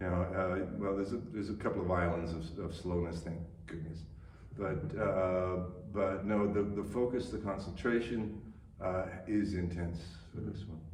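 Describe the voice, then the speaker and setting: A man talks at a moderate pace in a very deep, low voice with fairly even intonation. Noticeable background noise and audible room echo surround him. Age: 70s. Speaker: stage actor. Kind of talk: radio interview. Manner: halting, many repetitions and fillers.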